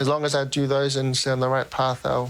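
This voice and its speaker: In a Tongan accent, a man talks at a fairly quick pace with monotone, flat intonation. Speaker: professional rugby player. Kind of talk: interview answer.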